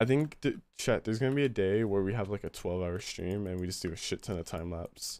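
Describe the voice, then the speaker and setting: A very fast pace with hardly any pauses and ordinary pitch variation. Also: man, fairly low pitch for a man. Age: young. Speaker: livestreamer. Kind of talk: casual chat. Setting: live stream with voice chat. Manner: animated. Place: home room.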